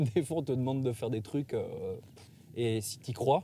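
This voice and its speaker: A man talks at a moderate pace and medium pitch with ordinary pitch variation. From Switzerland, Valais. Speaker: freestyle skier and actor. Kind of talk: casual interview chat. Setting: outdoors in the mountains.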